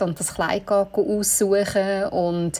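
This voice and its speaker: Over noticeable background noise, a woman speaks at a fairly slow pace, her medium pitch following fairly even intonation. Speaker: bridal shop owner. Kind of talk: casual chat.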